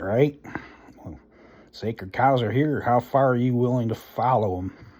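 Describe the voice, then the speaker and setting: A loud man speaks at a moderate pace. His pitch variation is ordinary. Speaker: vlogger. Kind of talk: rant. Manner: animated.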